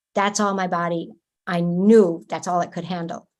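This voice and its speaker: Speaking in a plain, everyday voice, a woman keeps a moderate pace and fairly even intonation against a quiet background. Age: 60s. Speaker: energy medicine practitioner. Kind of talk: interview.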